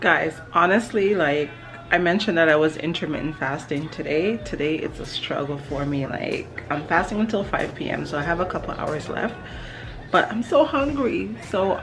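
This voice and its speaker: Clear music plays in the background as a woman talks in a fairly low pitch. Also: moderate pace. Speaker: home cook vlogger. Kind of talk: casual vlog chat. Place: kitchen. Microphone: phone near.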